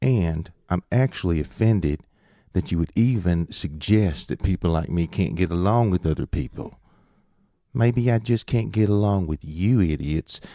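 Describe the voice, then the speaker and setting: A dark, mellow voice with a Southern US accent and lively intonation moves at a moderate pace. The recording is very clean, dry and close, with a silent background and no echo. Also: man. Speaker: video essayist. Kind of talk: monologue commentary. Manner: sarcastic, conversational.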